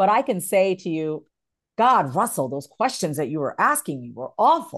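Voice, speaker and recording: With vocal fry at a moderate pace, the voice comes over a quiet background. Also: woman. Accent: American. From New York. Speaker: author and voice coach. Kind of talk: interview.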